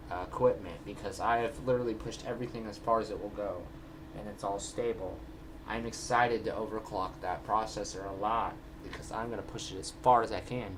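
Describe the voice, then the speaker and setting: A man with a fairly low pitch and fairly even intonation at a fairly quick pace, amid audible room echo and noticeable background noise. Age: 20s. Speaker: vlogger. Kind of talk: casual vlog. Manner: halting, filler-heavy.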